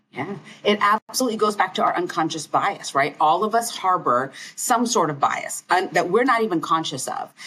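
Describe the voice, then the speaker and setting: Speaking in an American accent at a moderate pace, a woman has an ordinary speaking voice at a medium pitch. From US South. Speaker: internist and medical educator. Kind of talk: casual interview conversation.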